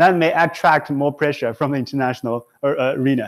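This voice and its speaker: A man with a Chinese accent talks very fast at a fairly high pitch with ordinary pitch variation, in a very clean recording with a silent background. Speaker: professor. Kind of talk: lecture. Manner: halting, many fillers.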